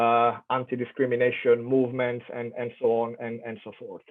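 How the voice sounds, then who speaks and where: A man speaks at a fairly slow pace with an Italian accent. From Italy. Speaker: professor. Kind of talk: keynote lecture. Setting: online conference.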